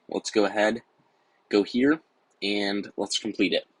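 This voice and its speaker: Against a quiet background, a man speaks fairly slowly at a fairly low pitch with ordinary pitch variation. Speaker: gaming YouTuber. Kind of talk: gameplay commentary. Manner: casual, filler words.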